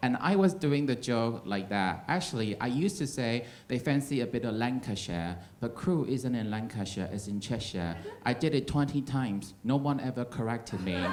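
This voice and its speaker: With an American accent, a man speaks at medium pitch and a moderate pace, his intonation lively, in a room with audible echo. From Taiwan. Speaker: stand-up comedian. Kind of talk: stand-up. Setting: stage with audience.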